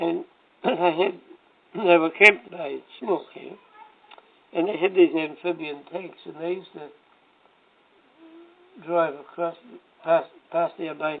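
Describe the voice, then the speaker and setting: The speech moves at a very slow pace, broken by long, frequent pauses, with big swings in loudness and fairly even intonation. Noticeable background noise sits behind it. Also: man. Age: old. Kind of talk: casual reminiscing conversation.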